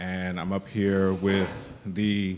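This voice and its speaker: A man speaks at a fairly low pitch. Light background noise can be heard. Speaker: panel facilitator. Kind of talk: event introduction. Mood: warm, joking, laughing. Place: hall.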